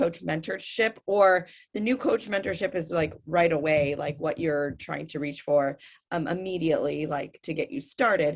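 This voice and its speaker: Lively intonation marks this woman's fairly low voice, delivered at a moderate pace. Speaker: fitness coach. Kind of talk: webinar presentation.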